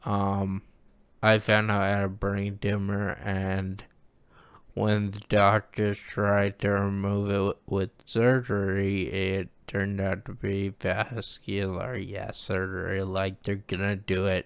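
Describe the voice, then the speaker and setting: Very clean recording, silent background. A man speaks at a very slow pace in a fairly low, monotone, flat voice. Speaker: news commentary vlogger. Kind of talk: casual monologue. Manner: hard to understand.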